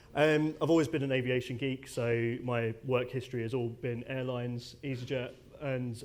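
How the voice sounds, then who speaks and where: A man speaks with a British accent at a moderate pace. His intonation is monotone and flat, and audible room echo surrounds it. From UK. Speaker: airline data technology lead. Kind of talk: conference presentation. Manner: casual, many fillers.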